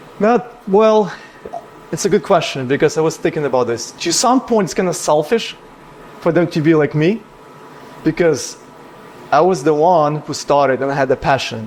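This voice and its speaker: A man talks at a moderate pace with lively intonation and long, frequent pauses. Noticeable background noise is present. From Ukraine. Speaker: business owner. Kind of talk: casual chat.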